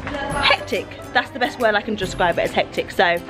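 Over clear background music, a woman talks at a fairly quick pace with ordinary pitch variation. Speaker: family vlogger. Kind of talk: casual vlog chat. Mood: cheerful, excited. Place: street. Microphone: phone near.

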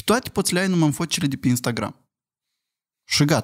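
A man speaks with ordinary pitch variation, the background quiet. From Moldova. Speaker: podcast guest with partner; podcast guest. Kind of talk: casual chat. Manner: animated. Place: studio. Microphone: studio mic.

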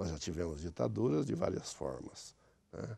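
The voice has a dark, mellow tone with vocal fry and very wide pitch swings. It moves at a moderate pace in a dry sound with no echo. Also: man. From interior of São Paulo state, Brazil (Mirassol / São José do Rio Preto); São Paulo state, Brazil. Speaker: former city councillor. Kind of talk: interview. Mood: reflective, reminiscing. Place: studio. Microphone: lapel.

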